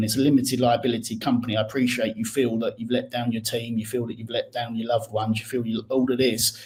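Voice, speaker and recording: Over noticeable background noise, a man talks very fast at a medium pitch in a monotone, flat intonation. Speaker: accountant. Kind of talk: podcast interview.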